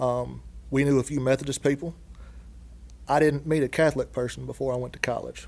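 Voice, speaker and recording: This man talks at a fairly quick pace in a strong Southern US accent. His speech is broken by long, frequent pauses. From Dallas, Georgia, US South. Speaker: guest, construction industry worker. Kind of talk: casual interview conversation.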